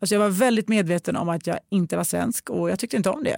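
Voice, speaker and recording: Female speech at medium pitch with ordinary pitch variation, very clean and silent in the background, dry and close with no echo. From moved to Sweden at age five. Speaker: podcast host. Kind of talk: casual chat. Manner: animated.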